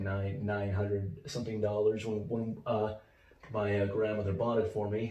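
Somewhat breathy, the man's voice sits fairly low. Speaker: video blogger. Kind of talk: casual vlog monologue. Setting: home office. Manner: rambling, informal.

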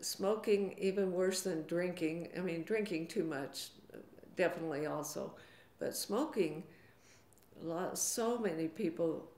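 A woman with an American accent speaks at a fairly slow pace. She leaves long, frequent pauses, and audible room echo can be heard. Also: fairly low pitch for a woman, ordinary pitch variation. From US Southwest, Arizona. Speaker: retired schoolteacher. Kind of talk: interview conversation. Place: office.

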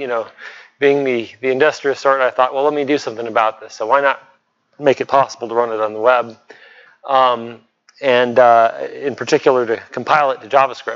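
Fairly quick delivery from a man at medium pitch. His intonation stays monotone and flat. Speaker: software developer presenting a project. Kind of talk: technical presentation. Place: meeting room.

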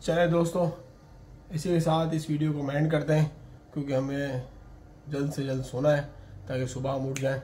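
At a moderate pace, a man with a dark, mellow tone speaks with little pitch movement and long, frequent pauses, and there is audible room echo. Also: fairly high pitch for a man.

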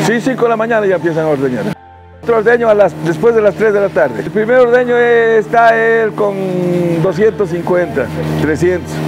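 Over noticeable background noise, a man speaks with a high pitch and lively intonation. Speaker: cattle farmer. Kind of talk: interview answer. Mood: proud, warm. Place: farm machine. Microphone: lapel.

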